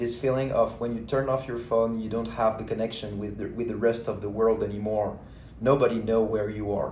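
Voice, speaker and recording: A man's medium-pitched voice with a French accent and fairly even intonation, in audible room echo. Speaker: vlogger. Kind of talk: casual monologue. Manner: halting.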